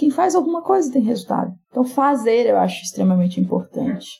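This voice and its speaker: A woman's high-pitched voice at a very fast pace, full of very wide pitch swings. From Brazil, rural Minas Gerais (Jequitinhonha Valley). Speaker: entrepreneur and business mentor. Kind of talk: casual interview.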